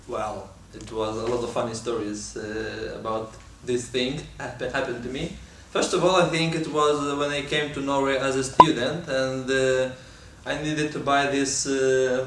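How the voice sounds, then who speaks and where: A man with a Lithuanian accent talks at a moderate pace and medium pitch with fairly even intonation, amid audible room echo and noticeable background noise. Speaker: talk show co-host. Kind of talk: casual chat.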